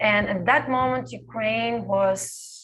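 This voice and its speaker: Pitch swings very widely while the words come at a very slow pace. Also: woman. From Belarus. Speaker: dancer. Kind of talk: panel Q&A. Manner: halting.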